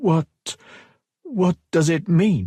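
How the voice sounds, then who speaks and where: A man puts on a character voice pitched high with lively intonation. The sound is dry and close, with no echo. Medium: read story. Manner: nervous, deferential.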